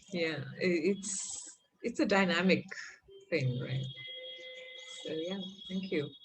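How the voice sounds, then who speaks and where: A woman's fairly low voice at a very slow pace, with ordinary pitch variation, long, frequent pauses, and music in the background. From India (south-born, raised in western India). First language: a South Indian language. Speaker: workshop facilitator. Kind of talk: interactive workshop discussion.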